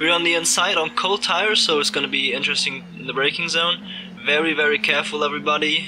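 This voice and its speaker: There is a slight non-native accent in this man's speech, along with ordinary pitch variation. Background noise is noticeable. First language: not English. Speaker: sim racing driver. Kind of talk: race commentary over gameplay. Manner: animated.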